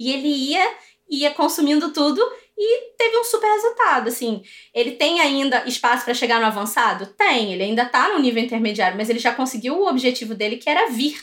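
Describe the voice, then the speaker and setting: The woman's high voice swings very widely in pitch as she talks at a fairly quick pace. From Brazil. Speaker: English teacher and online course entrepreneur. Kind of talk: interview.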